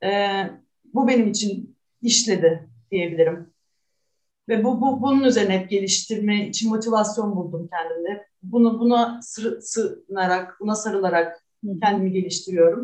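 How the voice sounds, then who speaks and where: Somewhat breathy, a woman speaks at a medium pitch and fairly slow pace with ordinary pitch variation. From Istanbul, Turkey. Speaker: artist. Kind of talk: interview.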